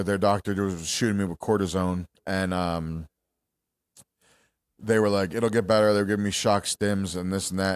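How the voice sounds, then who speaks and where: In a very clean recording with a silent background, a man speaks at a moderate pace with a fairly low pitch and fairly even intonation. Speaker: podcast co-host. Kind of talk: casual chat. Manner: halting.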